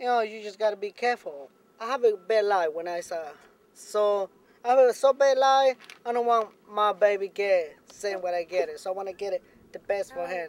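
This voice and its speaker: Speaking with a Mexican accent at a moderate pace, a man with a high pitch and ordinary pitch variation shows big swings in loudness, recorded with a dry, close sound and no echo. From Mexico. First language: Spanish. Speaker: farm worker, immigrant. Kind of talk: documentary interview.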